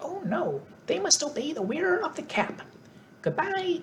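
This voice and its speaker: A squeaky, female-sounding put-on character voice with an extremely high pitch speaks at a moderate pace over clear background noise. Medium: read story.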